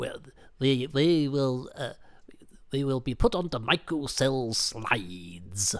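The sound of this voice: Putting on a character voice, a man speaks with lively intonation. His pitch is medium and his pace fairly slow.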